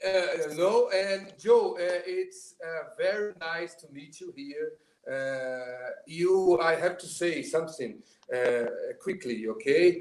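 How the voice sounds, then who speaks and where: Speaking at a very slow pace, a man uses a high pitch, lively intonation and big swings in loudness. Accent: Portuguese. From Brazil. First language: Portuguese. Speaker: drummer. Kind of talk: casual chat. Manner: halting.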